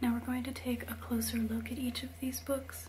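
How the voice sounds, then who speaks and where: A soft-spoken woman, relaxed in tone and fairly slow in pace, amid noticeable background noise. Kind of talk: ASMR book show-and-tell. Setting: home recording with a basic microphone, light rain sounds. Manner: soft-spoken, relaxed.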